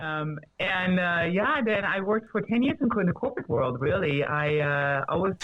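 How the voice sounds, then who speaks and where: A woman with a medium pitch speaks at a moderate pace and very even loudness, hardly pausing, while her pitch swings very widely. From Germany. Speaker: fitness trainer. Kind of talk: casual chat.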